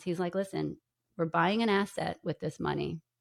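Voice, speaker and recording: At a moderate pace, a woman speaks at a fairly low pitch with vocal fry. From New York. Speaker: podcaster and author. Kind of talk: interview.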